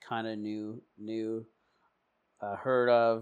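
In a Canadian accent, a man speaks at a medium pitch and a fairly slow pace. His intonation stays monotone and flat. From Canada, Alberta (adopted from India at five). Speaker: person in addiction recovery, peer support worker. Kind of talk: personal recovery testimony. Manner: halting, many fillers.

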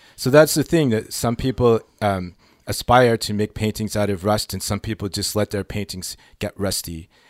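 A man talks in a plain, everyday voice at a fairly low pitch with ordinary pitch variation. The sound is dry and close, with no echo. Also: moderate pace, very clean recording, silent background. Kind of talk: casual radio interview. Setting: radio studio.

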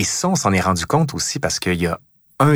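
A man speaks at a fairly quick pace. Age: 40s. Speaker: historian, podcast host. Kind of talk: interview.

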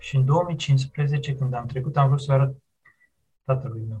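A man speaks at a very slow pace in a somewhat breathy, fairly high voice, his intonation monotone and flat. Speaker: historian. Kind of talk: interview.

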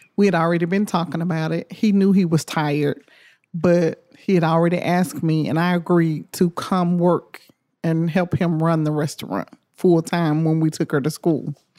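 A woman's fairly low, dark and mellow voice with fairly even intonation and a Memphis accent, on a very clean recording with a silent background. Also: moderate pace. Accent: Southern US (Memphis). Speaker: restaurant owner. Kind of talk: interview.

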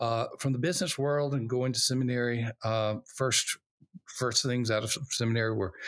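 On a very clean recording with a silent background and a dry, close sound with no echo, a man talks at a moderate pace with fairly even intonation and very even loudness. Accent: Southern US. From US South, Alabama. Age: old. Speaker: pastor and church consultant, author. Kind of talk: interview.

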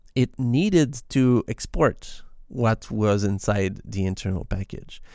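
On a very clean recording with a silent background, a man with a Quebec accent speaks at a very slow pace with ordinary pitch variation. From Quebec, Canada. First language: French. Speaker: podcast host and software developer. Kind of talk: solo scripted-casual podcast monologue. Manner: halting, with frequent fillers and repeated words.

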